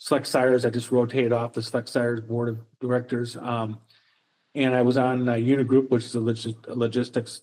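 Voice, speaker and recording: A man speaks at a fairly quick pace in a medium pitch, his dark, mellow tone held in a monotone, flat delivery. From US Midwest (Minnesota). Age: 60s. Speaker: professor. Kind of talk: interview. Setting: podcast. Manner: halting, with many fillers and repeats.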